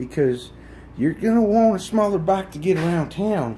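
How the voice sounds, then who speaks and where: A loud man at a moderate pace, his pitch swinging very widely. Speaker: motorcycle owner reviewing his bike. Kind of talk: casual vlog review.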